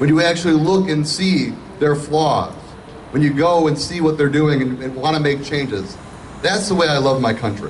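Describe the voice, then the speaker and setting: A man with an American accent speaks at a fairly high pitch and a moderate pace, with ordinary pitch variation and light background noise. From Michigan. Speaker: state senator, political speaker. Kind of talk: rally speech, political stump speech. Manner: earnest, building to a rousing finish. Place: street.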